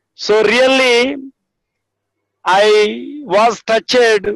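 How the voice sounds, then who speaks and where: A man's high-pitched voice at a very slow pace, fairly even in intonation, with a dry, close sound and no echo. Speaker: village church minister. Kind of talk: testimony.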